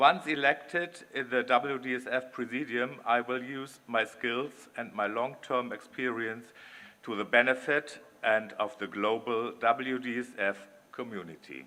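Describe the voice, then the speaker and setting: Using an ordinary speaking voice, a man talks at a fairly slow pace and medium pitch with ordinary pitch variation. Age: 60s. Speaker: election candidate, dance club president and business executive. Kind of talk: campaign speech. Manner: formal.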